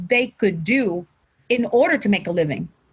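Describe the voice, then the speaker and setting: A somewhat breathy voice at a moderate pace, with a Mexican accent. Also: woman. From Mexico, Tijuana. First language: Spanish. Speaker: professional wrestler. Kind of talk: interview. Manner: halting, repeats words.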